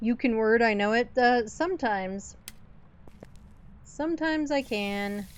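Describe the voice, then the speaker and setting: Speaking at a fairly high pitch, a woman uses lively intonation broken by long, frequent pauses. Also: fairly slow pace. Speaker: gaming streamer. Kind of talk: live gameplay stream chat. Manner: slow with weird pauses.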